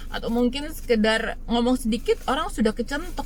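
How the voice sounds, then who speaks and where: Ordinary pitch variation from a woman, with room echo clearly audible. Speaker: vlogger. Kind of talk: casual vlog monologue. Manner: loud.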